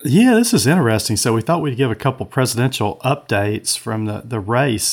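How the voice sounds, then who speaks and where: A man at a medium pitch with a Southern US accent. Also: very clean recording, silent background. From US South (Georgia). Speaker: co-host, former state legislator. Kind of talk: casual political chat.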